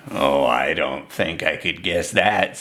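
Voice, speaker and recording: A man's put-on character voice, very deep and low in pitch, at a fairly slow pace over light background noise. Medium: read story. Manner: gentle, warm.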